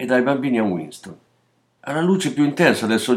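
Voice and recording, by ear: The intonation is lively as a natural voice reads aloud. Behind it, all is quiet.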